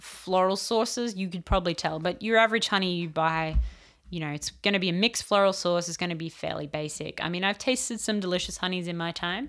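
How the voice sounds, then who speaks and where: A woman talks at a very fast pace with an Australian accent. The recording is very clean, with a silent background. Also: fairly low pitch for a woman, ordinary pitch variation. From Australia, rural New South Wales. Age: 30s. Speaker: entomologist. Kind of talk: casual chat.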